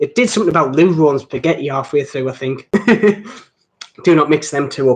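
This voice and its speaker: Speaking at a fairly quick pace with a strong Geordie accent, a man with a fairly high pitch shows ordinary pitch variation. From northeast England, between Newcastle and Durham. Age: 20s. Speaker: watch reviewer. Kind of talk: live stream chat. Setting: live stream. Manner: sounds older than his age.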